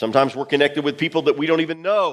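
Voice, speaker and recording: The man sounds loud and animated. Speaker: pastor. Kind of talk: sermon.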